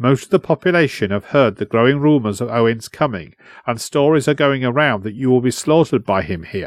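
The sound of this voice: Ordinary rises and falls of pitch in an unforced reading voice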